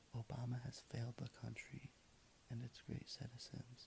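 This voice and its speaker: The man's tone is relaxed, with vocal fry. His pitch sits in the medium range. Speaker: ASMR video creator. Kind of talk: ASMR quote reading. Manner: soft, relaxed.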